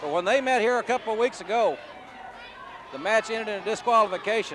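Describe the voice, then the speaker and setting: With noticeable background noise behind him, a man's high-pitched voice shows ordinary pitch variation. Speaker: wrestling play-by-play announcer. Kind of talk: wrestling TV play-by-play commentary.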